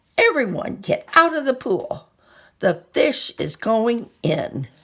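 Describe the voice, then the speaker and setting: A woman's raspy, put-on character voice at a fairly slow pace. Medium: read story. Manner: loud, yelling.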